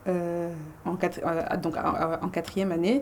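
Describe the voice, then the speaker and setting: A woman talks in a normal speaking voice, pitched fairly low. Her pace is moderate. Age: 20s. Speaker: medical student. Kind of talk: podcast interview. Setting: studio.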